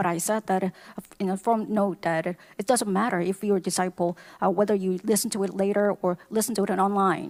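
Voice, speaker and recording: A woman with an unremarkable speaking voice talks at medium pitch and a moderate pace. Her intonation is fairly even, and the sound is dry and close with no echo. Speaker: English interpreter. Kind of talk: consecutive interpreting of sermon.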